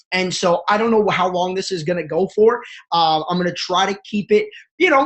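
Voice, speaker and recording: A man's animated, high-pitched voice at a fairly quick pace. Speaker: network marketing coach. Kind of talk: motivational webinar. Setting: live webinar from family home. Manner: fast.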